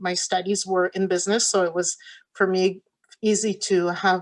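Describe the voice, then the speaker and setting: A woman's medium-pitched voice in a French accent at a moderate pace, over a quiet background. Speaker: quilt shop owner and pattern designer. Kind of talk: talk to a virtual conference audience. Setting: virtual conference. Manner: halting, many fillers.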